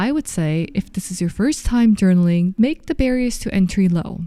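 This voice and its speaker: With a Korean accent, a woman at a medium pitch speaks at a moderate pace in a dark, mellow tone with lively intonation, recorded very cleanly against a silent background. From South Korea, Seoul. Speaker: lifestyle YouTuber. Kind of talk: scripted narration.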